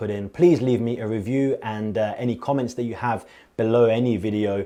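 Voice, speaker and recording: The voice has a dark, mellow tone and moves at a fairly quick pace over a quiet background. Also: man. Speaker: online course instructor. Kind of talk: lecture. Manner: fast; animated.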